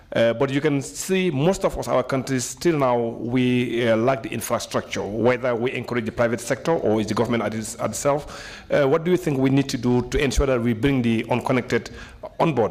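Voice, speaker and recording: Medium pitch and ordinary pitch variation from a man, with noticeable background noise. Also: fairly quick pace. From Gambia. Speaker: member of parliament. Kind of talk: question at a seminar. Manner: halting, many fillers.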